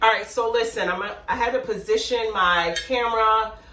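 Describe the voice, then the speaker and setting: In an animated tone, a woman with a fairly high pitch talks at a moderate pace amid audible room echo and noticeable background noise. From West Indian heritage. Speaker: cooking YouTuber. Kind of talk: casual cooking tutorial. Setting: home kitchen.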